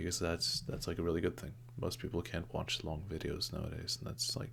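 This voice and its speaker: Soft-spoken and very deep in pitch, a man talks at a fairly quick pace with very wide swings in pitch. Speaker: YouTuber. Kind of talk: personal vlog monologue. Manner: halting, many fillers.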